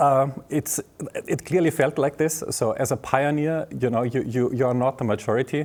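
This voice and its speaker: Here a man speaks with a German accent in a dark, mellow tone. The recording is very clean, with a silent background. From southern Germany (Bavaria). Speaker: tech executive and professor. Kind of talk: interview. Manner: halting, many fillers.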